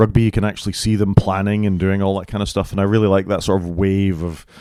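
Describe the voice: A man speaks fast in a low voice with little pitch movement. The tone is clear, smooth and slightly mellow, in a very clean recording with a silent background.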